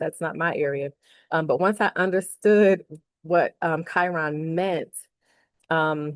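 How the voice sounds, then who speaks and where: A woman talks with a fairly low pitch and monotone, flat intonation. The sound is dry and close with no echo, over a quiet background. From US Northeast, Philadelphia. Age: 40s. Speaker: academic and author. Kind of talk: casual vlog monologue. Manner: hesitant, many fillers.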